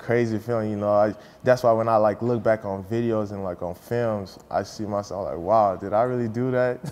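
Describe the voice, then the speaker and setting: This man has an ordinary speaking voice at a medium pitch, with fairly even intonation and a moderate pace. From US, moved from Nigeria at nine. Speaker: college football player. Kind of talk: interview. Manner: casual, with frequent fillers.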